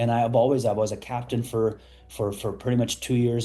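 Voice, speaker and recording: A man with an American accent speaks at medium pitch and a very fast pace. His tone is dark and mellow. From Afghanistan, then Pakistan refugee camps; US (Colorado) from age 14. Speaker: entrepreneur. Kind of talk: podcast interview. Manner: casual, many fillers and repetitions.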